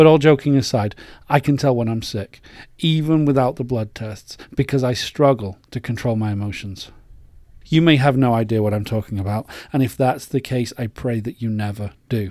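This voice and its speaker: The recording is very clean, with a silent background, and a man with an English accent speaks at medium pitch and moderate pace. His tone is dark and mellow, with ordinary pitch variation. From England. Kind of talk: personal faith monologue.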